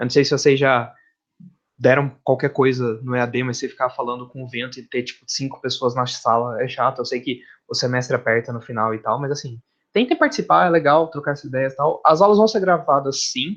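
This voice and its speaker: Against a quiet background, a man with a medium pitch speaks at a fairly quick pace with ordinary pitch variation. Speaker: university professor. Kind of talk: lecture. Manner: fast when excited; casual, talkative.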